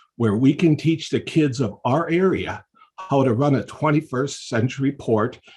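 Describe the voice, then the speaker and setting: A man's somewhat breathy voice at a fairly slow pace, with ordinary pitch variation. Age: 70s. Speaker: public commenter. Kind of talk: public comment.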